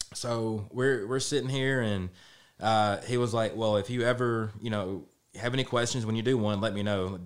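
A man with a Middle Tennessee accent, fairly low pitch, fairly even intonation and a moderate pace. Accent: Southern US (Middle Tennessee). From Tennessee, Lewisburg. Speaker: barbecue restaurant owner and baseball coach. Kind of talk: casual interview. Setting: studio.

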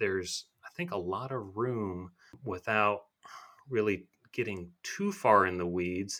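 A man with an unremarkable speaking voice speaks with an American accent at a fairly slow pace. His pitch is fairly low and his intonation fairly even. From western Michigan. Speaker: attorney and author. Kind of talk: interview.

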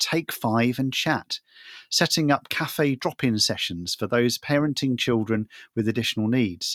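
Very clean recording, silent background: a man with a plain, everyday voice talks at a moderate pace with ordinary pitch variation. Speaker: co-host, additional needs ministry director. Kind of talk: casual interview chat.

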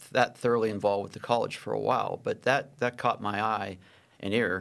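A man with an American accent speaks in a normal speaking voice at medium pitch and a moderate pace. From Pittsburgh, Pennsylvania. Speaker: business consultant and angel investor. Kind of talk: interview. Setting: studio.

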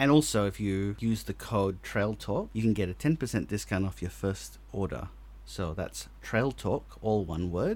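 At a moderate pace, a man talks in an Australian accent. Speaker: podcast host. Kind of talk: casual chat.

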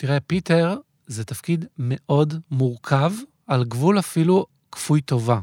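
Recorded very cleanly against a silent background, with a dry, close sound and no echo, a man talks at a fairly slow pace with lively intonation. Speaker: theatre director. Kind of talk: interview. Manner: hesitant, many fillers.

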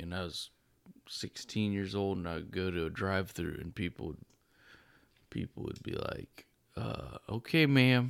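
A man with a plain, everyday voice and a fairly low pitch talks at a moderate pace. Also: very clean recording, silent background. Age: 30s. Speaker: new father. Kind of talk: casual chat.

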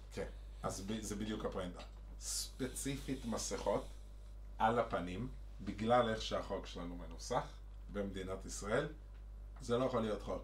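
A man at a moderate pace with long, frequent pauses, in audible room echo. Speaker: podcast co-host. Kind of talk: casual chat. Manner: animated.

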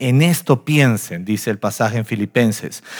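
A man speaks at a moderate pace. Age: 40s. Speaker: pastor. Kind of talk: sermon. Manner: animated.

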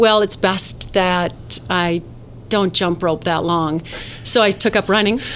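At a medium pitch, a woman talks at a very slow pace. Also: ordinary pitch variation. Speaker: model and actress. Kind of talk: casual interview chat. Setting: live-streamed studio recording.

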